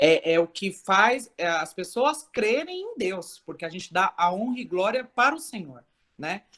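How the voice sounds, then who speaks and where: Talking at a fairly slow pace, a woman with a medium pitch shows very wide pitch swings and big swings in loudness. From Brazil, São Paulo. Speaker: church member. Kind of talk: testimony. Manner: loud, expressive.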